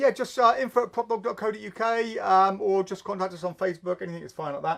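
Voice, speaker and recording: Mumbling at a fairly quick pace, a man speaks with an English accent. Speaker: magic shop owner and show host. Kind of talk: live stream chat reading viewer comments. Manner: fast, mumbling; halting.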